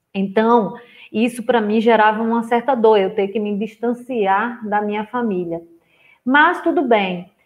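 A woman with an ordinary speaking voice, ordinary pitch variation and a fairly slow pace. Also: fairly high pitch for a woman. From rural Brazil. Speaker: therapist and coach. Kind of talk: online live lecture. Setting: livestream with screen share. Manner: casual, warm.

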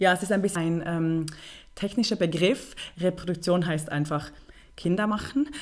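Talking at a moderate pace with long, frequent pauses, a woman uses ordinary pitch variation in a fairly low voice. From Switzerland, Bern. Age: 30s. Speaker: NGO project manager and filmmaker. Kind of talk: interview.

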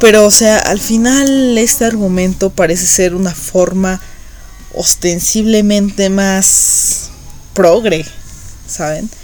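The speech moves at a very slow pace with ordinary pitch variation. Music plays in the background, and room echo is audible. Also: woman, medium pitch for a woman. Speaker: podcast host. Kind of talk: monologue commentary. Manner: hesitant, many fillers.

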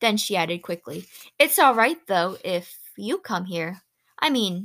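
Plain reading aloud with lively intonation against a quiet background

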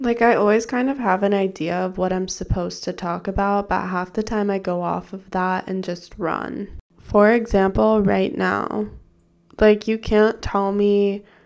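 A woman's medium-pitched, an unremarkable speaking voice with fairly even intonation, very clean recording and silent background. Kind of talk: casual solo podcast monologue. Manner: casual, chatty, self-deprecating.

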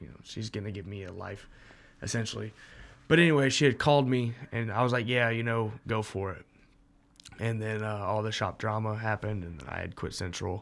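A man speaks with an American accent at a fairly quick pace, his pitch fairly low with ordinary variation. It is a plain, everyday voice on a very clean recording with a silent background. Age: 20s. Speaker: tattoo apprentice and former band vocalist. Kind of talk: casual chat.

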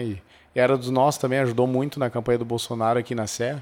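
A man at medium pitch, very fast pace and fairly even intonation. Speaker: gun rights activist. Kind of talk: casual interview.

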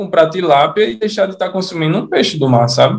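A man with a high pitch, ordinary pitch variation and a fairly quick pace. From Natal, Rio Grande do Norte, Brazil. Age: 30s. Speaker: sushi chef. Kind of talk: casual interview chat.

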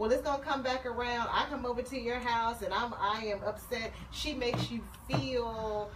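Audible room echo and noticeable background noise surround a woman speaking at a fairly high pitch and a moderate pace, with fairly even intonation. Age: 30s. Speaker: psychologist. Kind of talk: casual chat.

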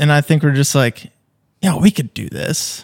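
In an ordinary speaking voice, a man with an American accent speaks at a moderate pace and fairly high pitch. His pitch variation is ordinary, on a very clean recording with a silent background and a dry, close sound with no echo. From Minnesota, Fergus Falls. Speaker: video production company co-founder. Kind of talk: casual interview chat.

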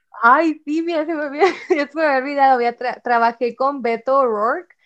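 Speaking at a fairly slow pace, a woman has an unremarkable speaking voice with ordinary pitch variation. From Mexico, Ciudad Juárez, Chihuahua. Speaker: university student. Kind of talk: casual chat.

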